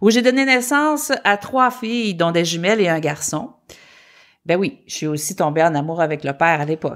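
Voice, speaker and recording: A woman's fairly low voice with very wide pitch swings at a moderate pace, on a very clean recording with a silent background. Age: 50s. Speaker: podcast co-host. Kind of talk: casual chat.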